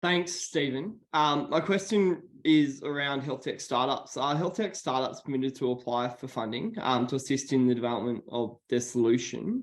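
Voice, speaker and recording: With an Australian accent, a man talks at a moderate pace and a fairly high pitch, with lively intonation and hardly any pauses. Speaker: meeting participant asking about health tech. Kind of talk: online meeting question.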